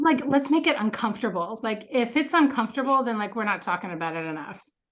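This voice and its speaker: Loud and at a very fast pace, a woman speaks at a fairly high pitch. Her pitch swings very widely. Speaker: podcast host. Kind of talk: interview.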